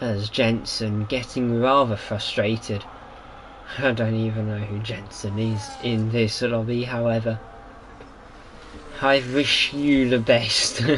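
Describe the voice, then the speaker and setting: A man speaks at a very slow pace, with long, frequent pauses and a flat, monotone delivery at a medium pitch. Noticeable background noise and audible room echo fill the recording. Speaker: sim racing commentator. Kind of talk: live commentary. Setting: live stream.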